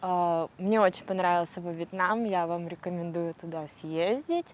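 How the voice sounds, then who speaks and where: Noticeable background noise fills the clip. Over it, a woman talks. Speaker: traveler. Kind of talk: travel vlog narration. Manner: slow, clear, relaxed.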